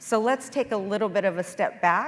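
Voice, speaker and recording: A woman with a plain, everyday voice talks at a moderate pace. Her pitch is medium, with ordinary pitch variation. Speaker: accountant, conference speaker. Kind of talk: conference presentation with Q&A.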